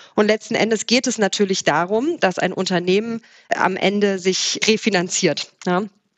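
With an unremarkable speaking voice, a woman talks at a moderate pace, her medium pitch showing ordinary variation and her loudness very even. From Saxony, Erzgebirge near Zwickau, then Swabian Alb. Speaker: startup founder. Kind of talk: interview.

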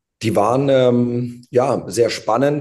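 The speaker is a man. He has a dark, mellow tone. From Hesse, Darmstadt region. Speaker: football coach. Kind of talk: interview.

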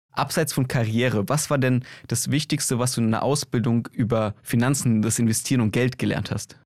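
Here is a man with an unremarkable speaking voice at a medium pitch and a moderate pace. His loudness is very even, his intonation fairly even, and the recording very clean with a silent background. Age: young. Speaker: podcast host. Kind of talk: casual interview.

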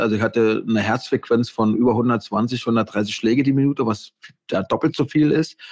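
With a normal speaking voice, a man talks at a medium pitch and ordinary pitch variation. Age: 40s. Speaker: intensive care nurse and author. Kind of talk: casual interview.

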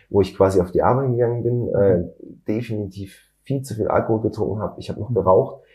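Somewhat breathy and fairly low-pitched, a man rushes along at a very fast pace with fairly even intonation. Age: 30s. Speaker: mechanical engineer and company founder. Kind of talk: interview.

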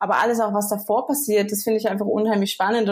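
A woman speaks in a fairly high pitch with a monotone, flat delivery. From Germany, near Frankfurt (Hesse). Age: 30s. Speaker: startup co-founder. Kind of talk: podcast interview.

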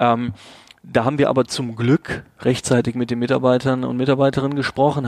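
A fairly quick pace in a monotone, flat intonation. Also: man. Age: 30s. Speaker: agency managing director. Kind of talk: interview.

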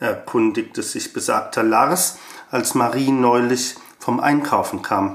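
Very slow speech from a man over noticeable background noise. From Germany, Frankfurt. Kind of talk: reading aloud.

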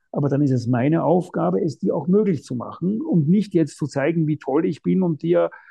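A man's fairly high voice with vocal fry. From Austria, Vienna. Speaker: non-fiction author. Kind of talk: interview. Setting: remote call.

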